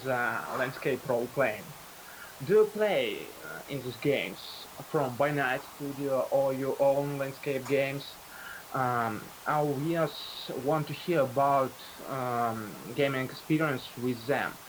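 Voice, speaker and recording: A man with a Russian accent speaks very slowly with a fairly high pitch and fairly even intonation. Long, frequent pauses break up his speech over noticeable background noise. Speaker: livestream host. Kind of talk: interview on livestream. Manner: halting, many fillers.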